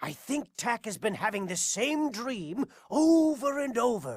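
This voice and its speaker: A put-on character voice at a very slow pace, on a very clean recording with a silent background. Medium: video game. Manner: worried.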